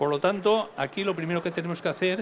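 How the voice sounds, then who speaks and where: This man's voice is high in pitch. His pitch variation is ordinary. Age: 60s. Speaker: fund analyst. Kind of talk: lecture.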